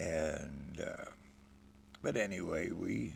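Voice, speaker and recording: A man's very deep, low voice with vocal fry, relaxed in tone, at a very slow pace amid audible room echo. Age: 70s. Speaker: homesteader and channel host. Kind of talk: casual monologue. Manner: relaxed, folksy.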